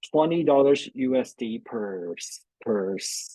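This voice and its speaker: Recorded dry and close with no echo, a man talks at a medium pitch. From Taiwan. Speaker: veterinarian. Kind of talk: webinar Q&A answers. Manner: halting, many fillers and restarts.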